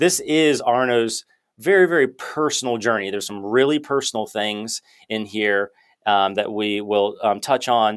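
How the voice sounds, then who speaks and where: On a very clean recording with a silent background, a man at medium pitch speaks at a moderate pace with ordinary pitch variation, a plain, everyday voice. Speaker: podcast host, chiropractor. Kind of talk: interview conversation.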